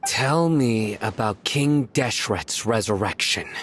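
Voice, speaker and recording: A man in a put-on character voice, medium in pitch, at a fairly slow pace. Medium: machinima. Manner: curt, cold, menacing.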